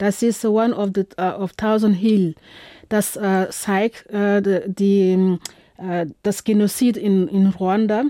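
A woman speaks at a very slow pace with a medium pitch, a dark, mellow tone, monotone, flat intonation and very even loudness, in a dry, close sound with no echo. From Burkina Faso. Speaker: film festival organizer and curator. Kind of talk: radio interview. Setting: radio studio. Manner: halting, many filler sounds.

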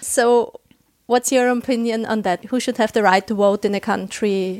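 In a normal speaking voice, a woman talks at a moderate pace with fairly high pitch and fairly even intonation, the sound dry and close with no echo. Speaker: podcast host. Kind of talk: interview.

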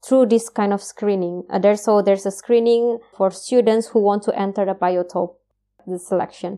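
Speaking at a moderate pace, a woman uses a medium pitch, fairly even intonation and a dark, mellow tone. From Indonesia. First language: Indonesian. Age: 30s. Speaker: PhD researcher in biotechnology. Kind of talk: interview. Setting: video call. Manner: hesitant, many fillers.

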